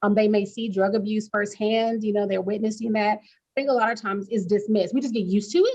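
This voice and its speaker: Racing at a very fast pace with hardly any pauses, a woman's fairly high, somewhat breathy voice stays monotone and flat while swinging widely in loudness. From Arkansas. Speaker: psychiatrist. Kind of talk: interview.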